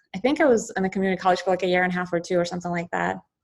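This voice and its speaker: A woman talks at a medium pitch. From Ukraine. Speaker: oral and maxillofacial surgeon, professor. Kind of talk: interview. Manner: casual, many fillers.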